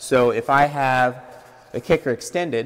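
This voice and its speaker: A man speaks at a fairly high pitch. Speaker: machine trainer. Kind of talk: training seminar. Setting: in-person seminar near machine. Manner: explanatory, conversational. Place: workshop.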